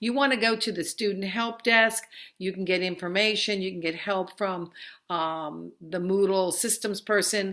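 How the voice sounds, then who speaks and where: This woman has a bright, sharp tone and a medium pitch, speaking at a moderate pace with fairly even intonation. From New Jersey. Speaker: college instructor. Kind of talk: online course introduction. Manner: conversational, with fillers.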